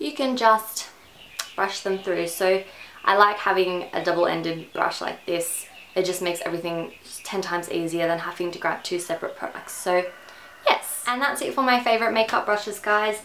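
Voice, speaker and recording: A woman speaks at a moderate pace with an Australian accent and ordinary pitch variation. Light background noise sits behind her. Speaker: beauty vlogger. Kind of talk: product review. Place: home room.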